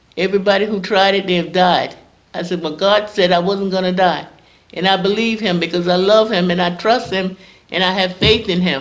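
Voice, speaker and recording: A woman with a South Carolina accent talks at a medium pitch in a monotone, flat intonation. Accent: Southern American (South Carolina). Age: 70s. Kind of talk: interview answer, personal testimony.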